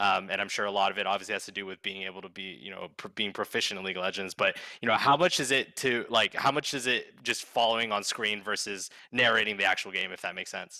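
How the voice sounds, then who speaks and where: The voice is bright and sharp, with fairly even intonation. It rushes at a very fast pace with hardly any pauses on a very clean recording with a silent background. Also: man, fairly low pitch for a man. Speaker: podcast host. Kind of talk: interview. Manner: mumbling.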